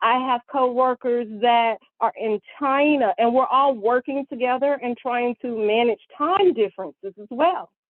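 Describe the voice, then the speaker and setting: A woman with a Southern US accent, high-pitched, at a moderate pace. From US South, Mississippi. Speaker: chemical industry data analyst. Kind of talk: interview.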